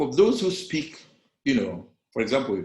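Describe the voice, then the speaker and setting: A man's fairly high voice carries vocal fry. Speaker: public speaking coach. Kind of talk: lecture. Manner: loud.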